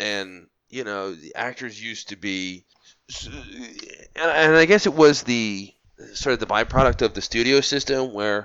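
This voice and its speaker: A man talks at a fairly slow pace in an unremarkable speaking voice. His pitch sits in the medium range. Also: lively intonation. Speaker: podcast host guest. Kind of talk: casual chat.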